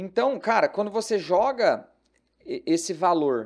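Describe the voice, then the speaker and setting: A man speaks with very wide swings in pitch on a very clean recording with a silent background. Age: 30s. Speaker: investment advisor. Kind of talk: casual chat.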